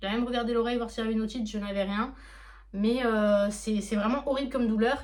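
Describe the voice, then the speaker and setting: Speaking at a very fast pace, a woman with a fairly high pitch and a somewhat breathy voice keeps a monotone, flat intonation amid audible room echo. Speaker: manga collector YouTuber. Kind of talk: casual unboxing vlog. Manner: hesitant, many fillers.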